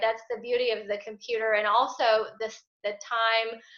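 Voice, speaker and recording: Here a woman speaks at a fairly high pitch. Her tone is bright and sharp. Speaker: parish religious education director. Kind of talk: tutorial. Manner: casual.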